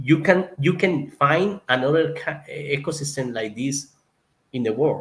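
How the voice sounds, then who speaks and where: With a Colombian accent, a man speaks in a fairly high pitch at a fairly slow pace. His voice is somewhat breathy and shows ordinary pitch variation. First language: Spanish. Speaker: zoo conservationist. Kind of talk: interview. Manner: halting, searching for words.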